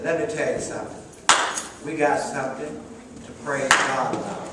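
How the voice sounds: Strong room echo fills this recording of a man speaking at a moderate pace. His medium pitch has a bright, sharp tone and ordinary pitch variation.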